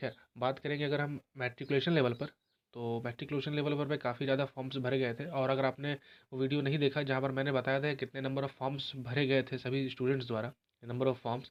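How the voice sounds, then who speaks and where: The man's pitch is medium and his speed moderate. He talks in a monotone, flat way. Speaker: exam prep youtuber / teacher. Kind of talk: informational vlog talk. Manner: halting, with false starts.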